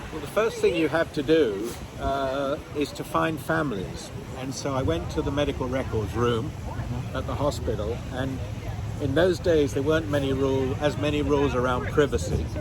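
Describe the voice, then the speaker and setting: There is audible room echo and noticeable background noise. A man with a British accent talks with lively intonation. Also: medium pitch for a man, moderate pace. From England, London. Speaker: nephrologist and genetics researcher. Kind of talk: interview. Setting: outdoors on a pier.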